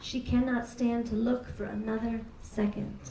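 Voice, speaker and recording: Through noticeable background noise, a woman with an American accent and a fairly high pitch speaks at a fairly slow pace. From New York City. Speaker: poet. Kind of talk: poetry reading. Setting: live venue.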